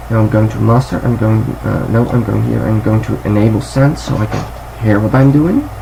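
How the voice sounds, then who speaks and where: Speaking at a moderate pace with hardly any pauses, a man is heard over noticeable background noise and audible room echo. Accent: Dutch. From Netherlands. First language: Dutch. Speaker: music production youtuber. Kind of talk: tutorial. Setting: home, window open. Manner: halting. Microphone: laptop recording, low quality.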